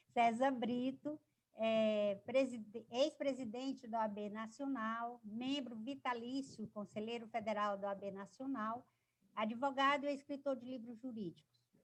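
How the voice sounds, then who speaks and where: In a plain, everyday voice, a woman speaks at a fairly slow pace with a fairly high pitch and fairly even intonation. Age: 60s. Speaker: lawyer and debate moderator. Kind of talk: panel moderation.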